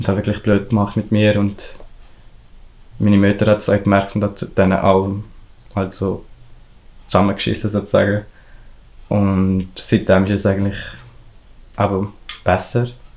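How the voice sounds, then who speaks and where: A man speaks in a Valais accent at a fairly low pitch and a moderate pace. His intonation is monotone and flat, with long, frequent pauses. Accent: Valais Swiss German. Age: young. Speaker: hairdresser apprentice. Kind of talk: interview answer.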